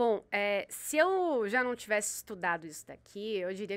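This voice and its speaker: A woman speaks in an ordinary speaking voice at fairly high pitch, with lively intonation at a moderate pace, in a very clean recording with a silent background. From Salvador, Bahia, Brazil. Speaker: sports show host. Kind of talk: interview.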